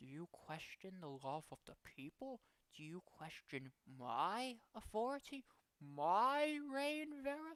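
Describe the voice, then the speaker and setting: In a put-on character voice, a woman speaks quietly and fairly slowly at a medium pitch, with very wide pitch swings, big swings in loudness, and a dry, close sound with no echo. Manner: hushed, probing.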